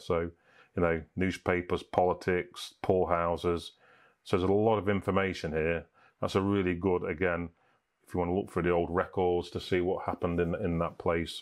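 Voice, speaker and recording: A man's very deep, low voice in a flat monotone at a moderate pace, against a quiet background. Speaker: presenter. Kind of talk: tutorial.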